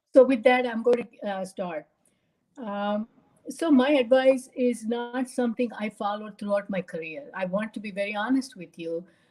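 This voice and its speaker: Speaking at a moderate pace in a Tamil accent, a woman with a fairly high pitch and a dark, mellow, somewhat breathy tone shows ordinary pitch variation and big swings in loudness. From India, Bombay. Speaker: retired pharma quality executive, speaker. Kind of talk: presentation talk.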